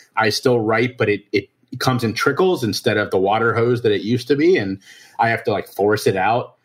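A man with an American accent, medium in pitch and somewhat breathy, at a fairly quick pace with very even loudness. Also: ordinary pitch variation. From Ohio, Cincinnati. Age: 30s. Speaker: addiction and mental health advocate. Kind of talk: interview testimony.

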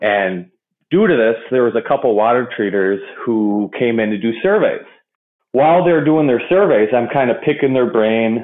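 An unremarkable speaking voice with lively intonation. The pace is moderate and the loudness very even. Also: man, medium pitch for a man. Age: 30s. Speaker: industrial water treatment professional. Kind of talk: interview conversation.

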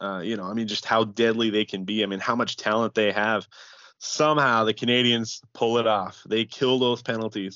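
A man with an unremarkable speaking voice and medium pitch talks at a moderate pace with fairly even intonation. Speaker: co-host of hockey podcast. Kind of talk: casual chat.

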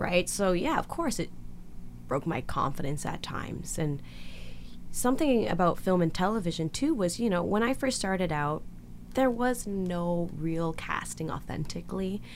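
A woman with a Canadian accent has an ordinary speaking voice and a fairly low pitch. She talks at a moderate pace with lively intonation. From Canada. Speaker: actress. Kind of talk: interview.

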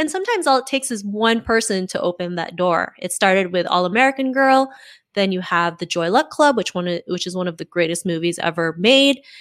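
A woman speaks in a plain, everyday voice at a medium pitch and a fairly quick pace, with lively intonation. The recording is very clean, with a silent background. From Canada. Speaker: podcaster and confidence coach. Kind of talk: interview.

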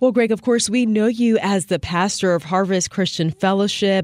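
A woman talks at a medium pitch with ordinary pitch variation and a plain, everyday voice. The sound is dry and close, with no echo. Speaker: radio host. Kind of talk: radio interview.

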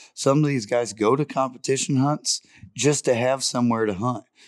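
A man with an American accent speaks in an unremarkable speaking voice at a moderate pace, his medium pitch showing ordinary variation, in a dry, close sound with no echo. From Ohio (Putnam County). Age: young. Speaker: hunting dog handler. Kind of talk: casual interview. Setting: live recording at a dog event.

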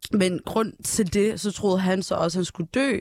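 A woman with a plain, everyday voice talks at a moderate pace with ordinary pitch variation. The recording is very clean, with a silent background. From northern Ethiopia, adopted to Denmark at 8. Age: 20s. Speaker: singer, talent show contestant. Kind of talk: casual chat.

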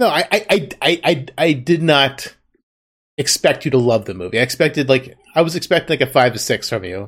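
Here is a man with an unremarkable speaking voice. His intonation is lively and his pace moderate. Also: fairly high pitch for a man. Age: 30s. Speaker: podcast host. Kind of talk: casual chat.

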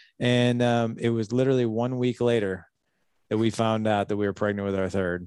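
Here is a man with a normal speaking voice at a medium pitch. He talks at a fairly quick pace. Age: 40s. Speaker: fatherhood podcast host and coach. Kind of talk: interview testimony. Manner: casual, conversational.

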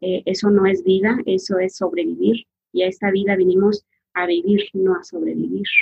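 At a moderate pace, a woman uses a normal speaking voice of medium pitch with fairly even intonation. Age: 40s. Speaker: massage therapist. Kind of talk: interview, personal life story.

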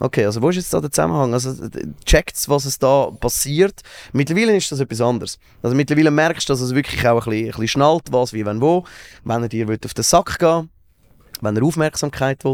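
With a plain, everyday voice at medium pitch, a man talks at a fairly quick pace with lively intonation, in a dry, close sound with no echo. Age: 30s. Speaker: radio and TV presenter. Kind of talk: casual chat.

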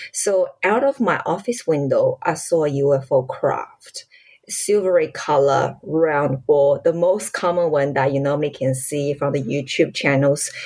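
This woman's voice has a very deep, low pitch. She talks at a fairly slow pace with hardly any pauses. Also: ordinary pitch variation. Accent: Chinese. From China, Shanghai. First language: Chinese. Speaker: lawyer and ufologist. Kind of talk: casual interview.

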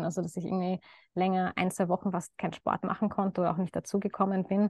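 Against a quiet background, a woman talks at a medium pitch in a monotone, flat way, with a dry, close sound and no echo. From Lower Austria (Baden). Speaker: doctor in training, coaching client. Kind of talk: testimonial interview. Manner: hesitant, many fillers.

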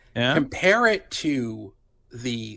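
A man's bright, sharp tone with vocal fry over a quiet background. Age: 50s. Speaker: journalist. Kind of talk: casual chat. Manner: halting, many fillers.

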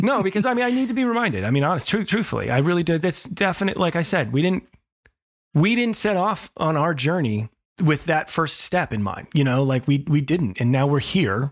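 On a very clean recording with a silent background, a man with a fairly high pitch talks at a fairly quick pace, his loudness very even and his pitch swings very wide. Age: 40s. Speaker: parenting podcast co-host. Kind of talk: casual chat.

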